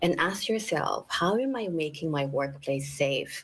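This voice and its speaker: Here a woman speaks with a Filipino accent at a moderate pace. Her fairly low voice is somewhat breathy. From Philippines. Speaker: equity advocate. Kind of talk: panel discussion.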